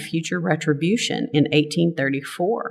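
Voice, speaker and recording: Speaking in a strong Texas accent, a woman with a very deep, low pitch keeps a moderate pace and ordinary pitch variation. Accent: thick Texas. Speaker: lay service leader, religious education volunteer. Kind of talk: lay-led church talk.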